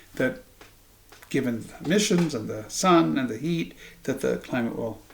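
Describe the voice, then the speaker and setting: A man with an American accent speaks with lively intonation and vocal fry. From Iowa, US Midwest. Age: 60s. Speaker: political commentator. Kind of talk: monologue to camera. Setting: home living room. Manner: halting, with ums.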